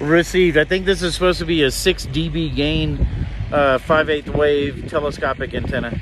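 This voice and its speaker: A man with an American accent speaks at a moderate pace, the sound dry with no echo but carrying noticeable background noise. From Texas, San Antonio. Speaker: ham radio hobbyist YouTuber. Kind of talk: casual vlog and two-way radio field test. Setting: driving in a car; outdoors at an overlook.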